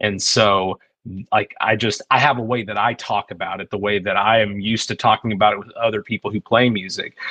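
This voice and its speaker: With an American accent, a man talks at a fairly quick pace in a monotone, flat intonation, his fairly low pitch carrying a bright, sharp tone in a dry, close sound with no echo. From Texas. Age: 40s. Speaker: musician and producer. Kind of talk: podcast interview. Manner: casual, filler-heavy.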